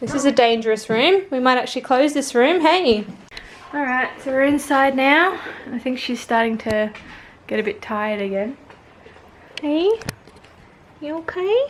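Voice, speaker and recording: Over noticeable background noise, a woman with a high pitch and an Australian accent talks at a moderate pace with lively intonation and long, frequent pauses. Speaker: family vlogger. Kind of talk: casual vlog chat. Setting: outdoors; at home. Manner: whispering.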